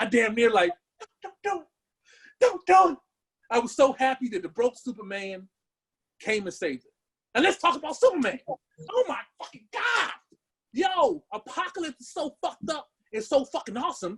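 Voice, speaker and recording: In a dry, close sound with no echo, a man with an extremely high pitch speaks at a moderate pace in an animated tone, with very wide pitch swings and long, frequent pauses. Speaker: podcast co-host. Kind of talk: casual chat. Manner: stuttering.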